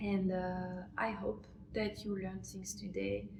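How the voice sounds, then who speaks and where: Heard with audible room echo, a woman with a French accent speaks at a very slow pace. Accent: French accent in English, self-conscious. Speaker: French teacher, language channel host. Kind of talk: tutorial. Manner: halting, many fillers.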